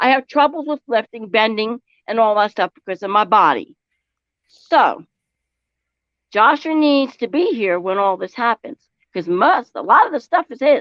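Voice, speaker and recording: A woman with a fairly high pitch swings very widely up and down at a moderate pace. She leaves long, frequent pauses. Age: 60s. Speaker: streamer's mother. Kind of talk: heated family argument. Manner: animated, talks over others.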